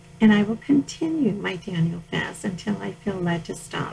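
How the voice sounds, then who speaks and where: There is noticeable background noise as a woman with medium pitch speaks at a fairly slow pace. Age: 60s. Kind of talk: reading aloud from personal journal.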